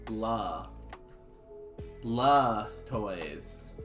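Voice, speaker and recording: A man performs a put-on character voice. Clear music plays in the background. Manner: growling creature cry.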